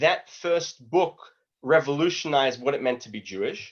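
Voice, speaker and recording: A man speaks with an Australian accent at a moderate pace. His pitch is fairly high, with ordinary variation. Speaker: lecturer on Judaism. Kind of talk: online lecture. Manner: casual, conversational.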